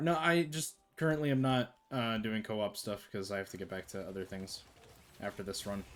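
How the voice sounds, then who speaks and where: Over music in the background, a man at medium pitch talks at a fairly quick pace with lively intonation and big swings in loudness. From Canada. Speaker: game streamer and indie game developer. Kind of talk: live gameplay commentary. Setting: live stream. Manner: casual, conversational with filler words.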